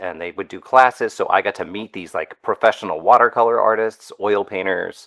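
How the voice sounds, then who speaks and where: A man with an ordinary speaking voice goes at a fairly quick pace. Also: dry, close sound with no echo. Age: 50s. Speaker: animation artist. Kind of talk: casual interview chat.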